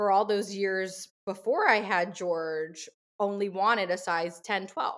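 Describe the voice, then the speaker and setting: Her pace fairly slow, a woman speaks in a normal speaking voice at a medium pitch with fairly even intonation. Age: 30s. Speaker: model and mom. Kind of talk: interview conversation.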